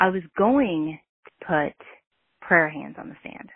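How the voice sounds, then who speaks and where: With lively intonation, a woman speaks in an animated tone. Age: 40s. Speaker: caller leaving a voicemail. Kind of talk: voicemail rant.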